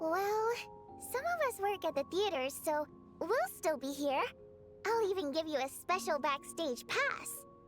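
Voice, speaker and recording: A female-sounding, put-on character voice at an extremely high pitch moves at a moderate pace over clear music in the background. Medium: video game. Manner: lively, expressive.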